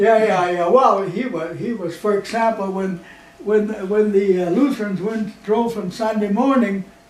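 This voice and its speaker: A man's high-pitched voice at a moderate pace, with ordinary pitch variation and noticeable background noise. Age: 80s+. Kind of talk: interview answer. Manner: rambling, hesitant.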